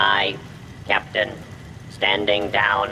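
Clear background noise runs under this put-on character voice. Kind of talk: in-game character dialogue.

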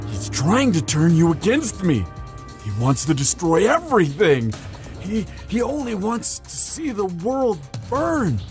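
A man puts on a character voice with a high pitch at a fairly slow pace. Clear music plays in the background. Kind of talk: audio roleplay. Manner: desperate.

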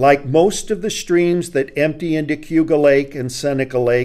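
Ordinary pitch variation marks a man's voice with a dark, mellow tone. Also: quiet background. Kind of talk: lecture. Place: studio. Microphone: studio mic.

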